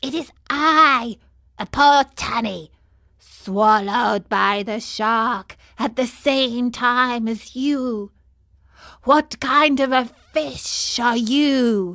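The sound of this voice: The put-on character voice moves at a very slow rate. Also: woman, high pitch for a woman.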